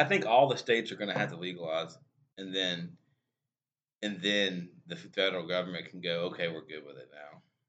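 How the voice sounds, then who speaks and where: A man with a Louisiana accent and a very deep, low pitch talks fairly quickly, his loudness swinging widely while his pitch varies in an ordinary way. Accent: US Southern (Louisiana). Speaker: podcast co-host. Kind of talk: casual chat. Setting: small room studio.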